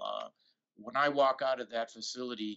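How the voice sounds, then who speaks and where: A man with an unremarkable speaking voice, medium pitch and moderate pace. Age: 60s. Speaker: golf pundit. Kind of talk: casual chat.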